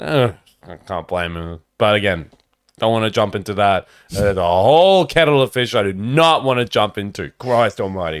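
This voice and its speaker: Speaking at a moderate pace with an Australian accent, a man uses a fairly low pitch and lively intonation. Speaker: podcast co-host. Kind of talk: casual chat. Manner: animated.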